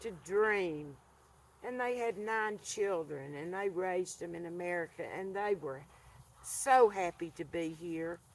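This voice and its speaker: A woman speaks with an Appalachian accent at a fairly slow pace. Her pitch is fairly low. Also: ordinary pitch variation. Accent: Southern Appalachian US. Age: 70s. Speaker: vlogger. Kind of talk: casual monologue to camera. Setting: outdoors by a fire pit.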